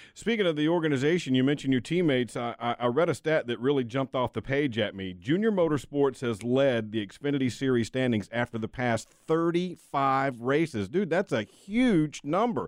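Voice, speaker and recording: An ordinary speaking voice from a man, medium-pitched, at a moderate pace with lively intonation and hardly any pauses. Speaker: news reporter and interviewer. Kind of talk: news report and interview questions.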